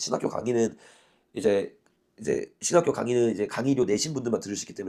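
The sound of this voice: Using a put-on character voice, a man talks raspy and hoarse at a medium pitch, very fast, with big swings in loudness.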